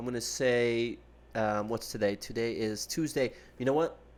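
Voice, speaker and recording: In an American accent, a man with an unremarkable speaking voice speaks at a moderate pace and medium pitch, with fairly even intonation, on a very clean recording with a silent background. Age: 20s. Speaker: gaming streamer and police detective. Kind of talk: live stream chat. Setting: live stream. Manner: casual.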